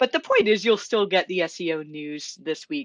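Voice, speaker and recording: The sound is dry and close with no echo as a woman speaks at a moderate pace with a Canadian accent. Her voice sits at a medium pitch with lively intonation. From Canada. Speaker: SEO consultant and podcast host. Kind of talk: solo podcast news roundup.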